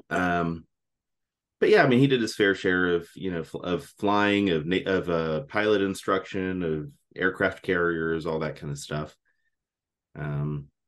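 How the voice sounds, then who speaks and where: With an American accent, a man speaks at a very deep, low pitch with ordinary pitch variation against a quiet background. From South Texas (Kingsville), military family. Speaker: army musician and former pastor. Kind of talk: interview. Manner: halting, many fillers.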